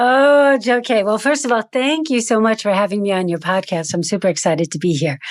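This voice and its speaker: In a very clean recording with a silent background, a woman with an American accent speaks at a medium pitch and a fairly quick pace, with very wide pitch swings, very even loudness and hardly any pauses. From United States. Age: 50s. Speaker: actor and acting coach. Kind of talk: podcast interview.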